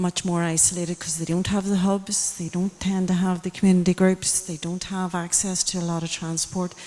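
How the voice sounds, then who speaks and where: Speaking fairly quickly with hardly any pauses, a woman uses monotone, flat intonation at a medium pitch. She has a Tyrone accent, and background noise is noticeable. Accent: Northern Irish, rural Tyrone. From Northern Ireland, County Tyrone. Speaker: audience member. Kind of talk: public Q&A comment. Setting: public event with audience.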